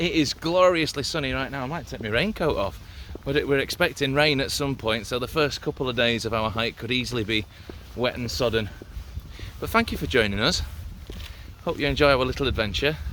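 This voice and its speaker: Over noticeable background noise, a man with a fairly high pitch talks at a fairly quick pace with lively intonation, broken by long, frequent pauses. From northern England, Newcastle. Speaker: outdoor vlogger. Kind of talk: casual vlog narration. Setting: outdoors, hiking.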